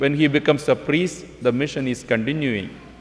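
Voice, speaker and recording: A man's fairly high-pitched voice at a fairly slow pace, with noticeable background noise. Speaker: visiting priest. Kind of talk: homily. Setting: church.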